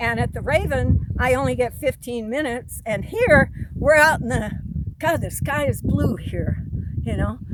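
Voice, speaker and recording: Noticeable background noise sits behind the speech. The woman keeps a moderate pace. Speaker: military veteran. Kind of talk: personal monologue. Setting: outdoors. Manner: loud.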